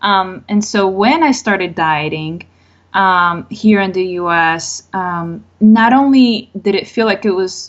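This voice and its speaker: A woman speaks at a very slow pace. She has a Spanish accent. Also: medium pitch for a woman, ordinary pitch variation. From Colombia. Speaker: mental health therapist. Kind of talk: podcast interview.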